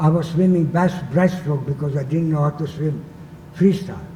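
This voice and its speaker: A man's fairly high voice with a Hungarian accent, monotone and flat at a moderate pace, over noticeable background noise. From Hungary, Budapest. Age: 80s+. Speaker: Holocaust survivor. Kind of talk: talk to students.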